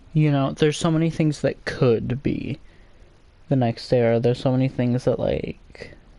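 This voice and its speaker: The voice is quiet, with a dark, mellow tone, very even loudness, fairly even intonation and a moderate pace. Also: man, fairly high pitch for a man. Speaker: gaming streamer. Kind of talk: casual live stream chat. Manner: quieter while browsing.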